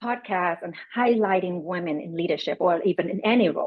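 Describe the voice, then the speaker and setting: A woman talks with a Vietnamese accent and ordinary pitch variation. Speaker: panelist, business leader. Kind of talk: panel discussion.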